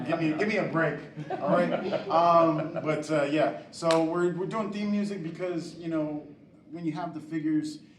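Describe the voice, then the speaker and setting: Over noticeable background noise and audible room echo, a man speaks at a moderate pace. His pitch is high, and his intonation fairly even. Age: 40s. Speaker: toy creator. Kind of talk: convention panel talk.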